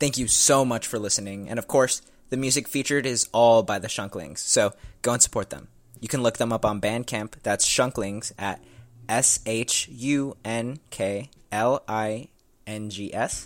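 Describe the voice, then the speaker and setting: A man's plain, everyday voice at medium pitch, with ordinary pitch variation, on a very clean recording with a silent background. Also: moderate pace. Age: 19. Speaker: podcast host. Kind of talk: casual interview; scripted outro.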